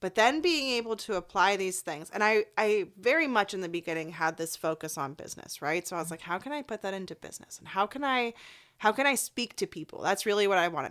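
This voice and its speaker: Animated and lively, a woman speaks at a medium pitch and a very fast pace. Her loudness swings a lot, on a very clean recording with a silent background. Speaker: life coach. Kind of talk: podcast interview.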